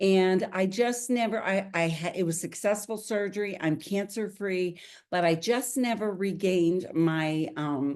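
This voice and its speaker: A woman's unremarkable speaking voice at medium pitch, with lively intonation and a fairly slow pace. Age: 60s. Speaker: network marketing distributor. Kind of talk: testimony.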